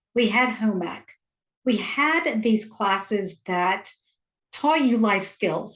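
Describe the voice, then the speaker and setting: A woman's somewhat breathy, fairly high voice with lively intonation at a very slow pace. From US South, rural Georgia. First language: Hindi. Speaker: author and parent coach. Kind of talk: interview.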